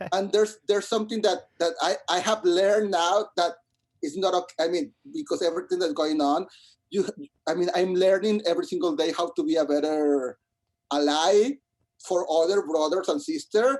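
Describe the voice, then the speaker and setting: A man with a Spanish accent, high-pitched, at a moderate pace and very even loudness. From Mexico, Monterrey. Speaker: musical theatre composer. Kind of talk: interview. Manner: halting, many repetitions.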